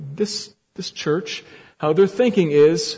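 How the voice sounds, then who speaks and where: The man's voice sits high in pitch, with ordinary variation. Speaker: pastor. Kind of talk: sermon. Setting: church. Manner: edgy tone.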